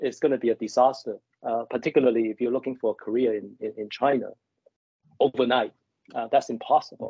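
Against a quiet background, a man talks at a very fast pace with long, frequent pauses, the sound dry with no echo. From Hong Kong. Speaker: business executive and mentor. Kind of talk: interview. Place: home room. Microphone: video call.

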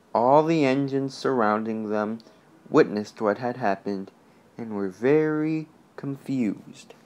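Reading in an unforced reading voice.

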